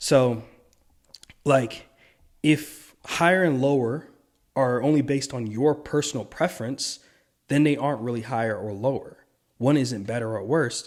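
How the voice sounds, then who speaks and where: On a very clean recording with a silent background, a man of medium pitch speaks at a moderate pace with ordinary pitch variation and long, frequent pauses. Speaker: video essayist. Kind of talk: monologue commentary. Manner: stumbling over words; partly reading from notes.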